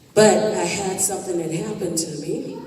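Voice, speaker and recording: A woman's fairly low voice with fairly even intonation, plus audible room echo and noticeable background noise. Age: 50s. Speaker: blues singer. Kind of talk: speech to an audience.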